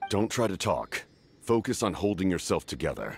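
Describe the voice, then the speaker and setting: A man uses a put-on character voice. He keeps a medium pitch and a moderate pace. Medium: video game. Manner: calm, measured.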